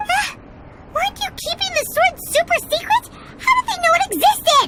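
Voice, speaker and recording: An extremely high, bubbly, cartoonish character voice comes through over light background noise. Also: moderate pace. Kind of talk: cartoonish sidekick. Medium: video game. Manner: chatty, bubbly.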